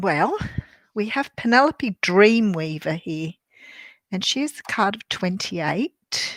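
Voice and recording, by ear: A woman with an Australian accent speaks slowly at a medium pitch, her husky, fairly bright voice lively in intonation and the sound dry and close with no echo.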